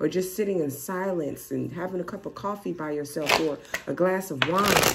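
A woman is speaking. Loud background noise runs behind her. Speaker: tarot reader. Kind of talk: tarot reading commentary. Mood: calm, encouraging. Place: home room. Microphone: phone near.

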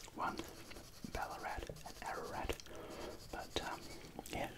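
Someone whispers quietly at a moderate pace against loud background noise. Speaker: drawing tutor. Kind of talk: casual drawing tutorial chat. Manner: quiet ASMR whisper while drawing. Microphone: phone near.

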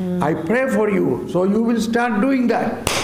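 A man is speaking. Audible room echo can be heard. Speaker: retreat preacher teaching a workshop. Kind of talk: sermon. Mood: excited, laughing at times.

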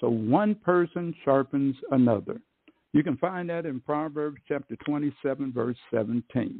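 With an unremarkable speaking voice, a man talks at a fairly slow pace, fairly high in pitch, with ordinary pitch variation. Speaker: radio program host. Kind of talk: podcast intro.

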